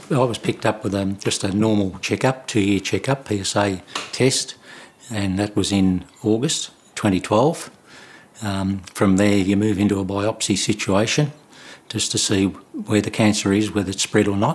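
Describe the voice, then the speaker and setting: With an Australian accent, a man with a fairly low voice speaks at a moderate pace and fairly even intonation against noticeable background noise. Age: 70s. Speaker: prostate cancer survivor. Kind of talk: testimony. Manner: halting.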